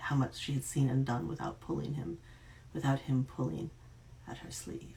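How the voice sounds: A natural reading voice with intonation that stays fairly even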